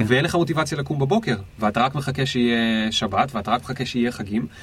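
Somewhat breathy, a man talks at a fairly quick pace and medium pitch. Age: 30s. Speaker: entrepreneur and career consultant. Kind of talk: casual interview. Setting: studio.

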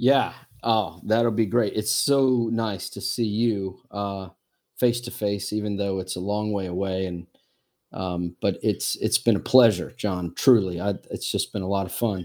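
An ordinary speaking voice from a man, pitched fairly low. He talks at a fairly slow pace with fairly even intonation. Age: 40s. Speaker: missionary. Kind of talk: casual chat. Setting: video call.

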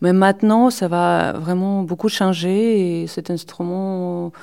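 On a very clean recording with a silent background, a woman speaks very slowly in a dark, mellow, fairly low voice. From Belarus. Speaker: mandolinist. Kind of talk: interview monologue. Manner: halting.

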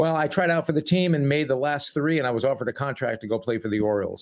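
Using ordinary pitch variation, a man in an American accent speaks at a very fast pace. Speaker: sportscaster. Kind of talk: interview conversation.

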